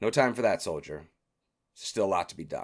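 Putting on a character voice, a man talks at a fairly quick pace in a raspy, fairly low voice. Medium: actual play. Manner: commanding.

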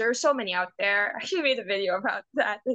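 In a Filipino accent, a woman talks with ordinary pitch variation. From Philippines. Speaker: interior designer. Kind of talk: casual chat.

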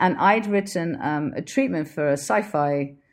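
This woman has a very deep voice. Her pitch sits low. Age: 40s. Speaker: film director. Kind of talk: interview.

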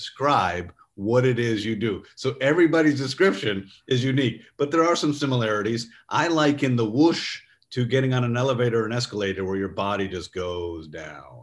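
Against a quiet background, a man in a plain, everyday voice with an American accent speaks at a medium pitch and a fairly quick pace, his intonation lively. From New York State. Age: 50s. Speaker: neuroscience company executive. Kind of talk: interview.

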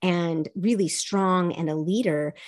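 A woman's plain, everyday voice, medium in pitch, with an American accent, over a quiet background. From US South, childhood partly in South Korea. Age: 50s. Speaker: life coach and speaker. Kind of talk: interview.

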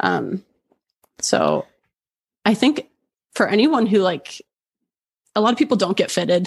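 A woman with a medium-pitched voice and vocal fry speaks fairly slowly, leaving long, frequent pauses. Her intonation is lively, her loudness very even, and the sound dry and close with no echo. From Oshawa, Ontario, Canada. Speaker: golf content creator. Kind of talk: casual chat.

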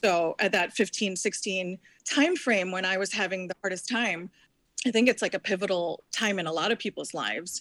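A woman with an ordinary speaking voice talks at a moderate pace and medium pitch. Her pitch variation is ordinary, and the sound is dry and close with no echo. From US, New Jersey, Indian immigrant family. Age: 40s. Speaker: former model, recovering addict. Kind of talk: interview, personal story.

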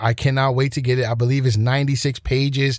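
This is a man with a plain, everyday voice at medium pitch. His intonation is fairly even. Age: 30s. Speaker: podcast host. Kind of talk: casual chat.

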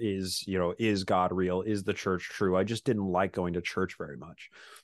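Over a quiet background, a man speaks with a Utah accent. His pitch is fairly low and his pace moderate. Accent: Utah American English. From Utah, suburb of Salt Lake City. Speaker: podcaster and independent history researcher. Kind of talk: interview conversation.

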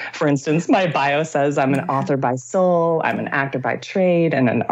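Her pitch is very deep and low for a woman, with ordinary variation. The woman's tone is animated. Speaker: author and actor. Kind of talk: casual interview conversation. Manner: animated, joyful, laughs often.

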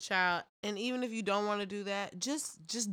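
A woman speaks at a moderate pace in a raised, projected voice. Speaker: podcast co-host. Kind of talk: casual chat.

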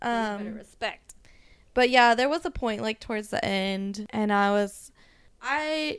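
A woman with an American accent speaks in a normal speaking voice at a fairly slow pace, using a medium pitch and ordinary pitch variation, in a very clean recording with a silent background. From US, San Diego. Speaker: podcast guest, Star Wars fan. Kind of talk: casual chat. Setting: at home.

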